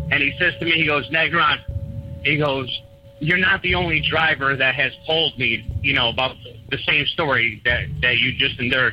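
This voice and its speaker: Over noticeable background noise, a man talks at a moderate pace in a fairly high voice. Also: ordinary pitch variation. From New England. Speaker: truck driver. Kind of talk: storytelling. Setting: phone call. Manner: animated.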